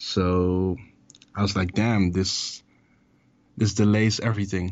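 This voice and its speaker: A man's fairly low voice at a fairly slow pace. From Amsterdam, Netherlands. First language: Dutch. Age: 20s. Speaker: rapper, music artist. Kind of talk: casual interview. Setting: phone or video call.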